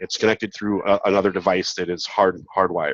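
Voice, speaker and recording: This man's pitch is fairly low. He speaks at a fairly quick pace. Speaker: security presenter. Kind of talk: conference talk. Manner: casual, hesitant with fillers.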